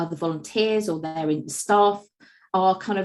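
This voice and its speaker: A woman at a medium pitch, with ordinary pitch variation and a moderate pace. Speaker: agency managing director presenting webinar. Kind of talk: webinar presentation. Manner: loud; hesitant, many fillers.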